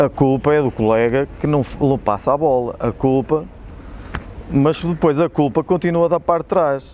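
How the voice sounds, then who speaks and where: A man with an ordinary speaking voice talks at a moderate pace, his fairly high pitch varying in an ordinary way. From Portugal, Espinho. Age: 40s. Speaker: football club physio and former player. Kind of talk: casual interview chat. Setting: outdoors by old stadium ticket office.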